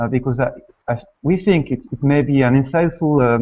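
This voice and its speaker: A man with a French accent speaks at a moderate pace. His pitch sits fairly high, with ordinary variation. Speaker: online course organizer. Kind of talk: event introduction. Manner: hesitant, many fillers.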